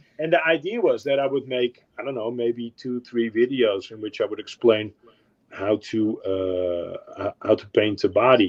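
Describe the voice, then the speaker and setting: A man with a Dutch accent talks at a moderate pace and medium pitch. His pitch varies in an ordinary way while his loudness swings widely. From Netherlands. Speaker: car model painter and video maker. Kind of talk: casual chat. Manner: halting, many fillers.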